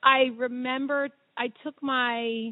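With an American accent, a woman talks in a high pitch using fairly even intonation. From Philadelphia area, Pennsylvania. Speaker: plastic surgeon. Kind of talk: interview.

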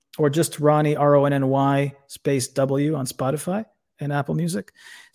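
A plain, everyday voice with an American accent speaks at a moderate pace with fairly even intonation. The recording is very clean, with a silent background. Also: man. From United States. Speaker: war veteran. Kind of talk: casual chat.

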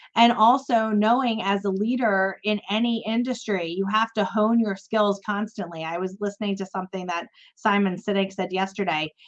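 A woman with an ordinary speaking voice, medium pitch, fairly even intonation, a moderate pace and hardly any pauses. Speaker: podcast host. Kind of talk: casual interview chat.

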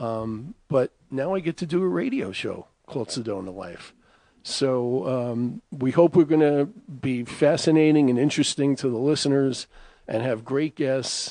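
In a New York accent, a dark, mellow tone carries lively intonation at a fairly slow pace against a quiet background. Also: man, medium pitch for a man. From Bronx, New York. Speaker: radio host. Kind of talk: radio show hosting.

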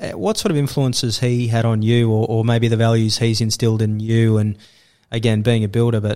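Recorded very cleanly with a silent background, a man speaks with an Australian accent. His pitch is medium and his pace fairly quick. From Australia, Sydney. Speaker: podcast host. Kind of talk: casual interview chat.

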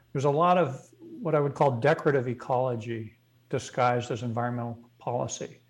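A man with an unremarkable speaking voice talks at a fairly quick pace, his medium pitch carrying fairly even intonation. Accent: American. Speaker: energy policy expert. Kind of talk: interview.

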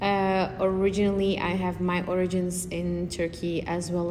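At a fairly slow pace, a woman talks amid audible room echo. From Belgium, Antwerp. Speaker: architecture student. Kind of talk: interview. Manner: hesitant, many fillers.

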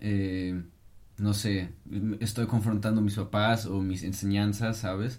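A man's fairly low, monotone, flat voice at a very slow pace. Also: very clean recording, silent background. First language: German (speaking Spanish). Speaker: podcast co-host. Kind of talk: casual chat.

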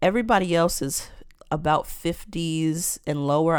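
In a very deep, low voice, a woman speaks with an animated, passionate tone on a very clean recording with a silent background. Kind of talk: opinionated monologue, preachy commentary.

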